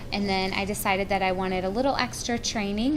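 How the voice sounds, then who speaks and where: With an American accent, the speaker goes at a fairly quick pace in fairly even intonation. Audible room echo and noticeable background noise fill the recording. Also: woman. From North Carolina. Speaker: pharmacy professor. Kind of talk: lecture.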